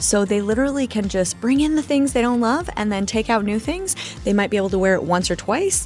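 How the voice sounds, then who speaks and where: Over music in the background, a woman with an American accent talks at a fairly quick pace in a fairly high voice with lively intonation. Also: very even loudness. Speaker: shop founder. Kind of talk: interview. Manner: loud.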